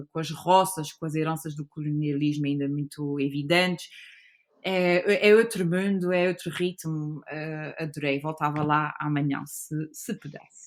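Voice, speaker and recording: A woman with an unremarkable speaking voice talks at a fairly slow pace, her pitch fairly low with ordinary variation. Her loudness swings widely. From Azores (São Miguel). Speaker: guesthouse owner and designer. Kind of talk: casual chat.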